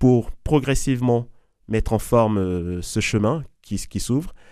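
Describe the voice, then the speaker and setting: A very clean recording holds the voice against a silent background. Its tone is dark and mellow. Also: man. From Ivory Coast. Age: 40s. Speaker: Jesuit and math teacher. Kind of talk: testimony. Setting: studio.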